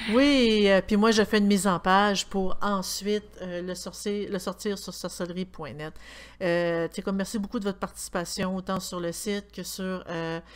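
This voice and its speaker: Her voice swinging widely in loudness, a woman with a Quebec accent speaks at a moderate pace and medium pitch, her intonation fairly even. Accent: Québécois French. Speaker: podcast co-host. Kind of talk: casual chat.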